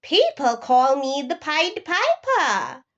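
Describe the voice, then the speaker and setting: A woman puts on a character voice at an extremely high pitch, swinging very widely in pitch at a very slow pace. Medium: read story. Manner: mysterious, self-assured.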